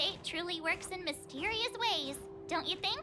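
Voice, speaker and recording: Loud music plays behind a woman using a put-on character voice. Her pitch is extremely high and her pace moderate. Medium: video game. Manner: bubbly and energetic.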